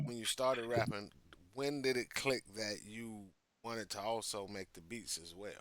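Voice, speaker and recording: A man speaks in a plain, everyday voice at a moderate pace and medium pitch, with fairly even intonation but big swings in loudness. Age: 40s. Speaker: interviewer. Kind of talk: interview.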